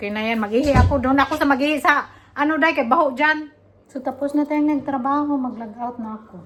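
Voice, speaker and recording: The voice races at a very fast pace, loudness swinging widely and pitch varying in an ordinary way, against noticeable background noise. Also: woman, high pitch for a woman. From Philippines. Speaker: vlogger. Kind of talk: casual vlog chat. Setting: workplace, walking to bus.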